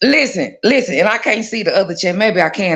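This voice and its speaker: A woman speaks with a Texan accent. Her tone is animated and her intonation lively. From Texas, Dallas. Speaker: live stream viewer joining on air. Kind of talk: casual chat.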